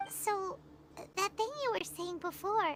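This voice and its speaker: A put-on character voice, squeaky and extremely high in pitch, moves at a fairly slow pace over clear background noise. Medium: video game. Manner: excitable.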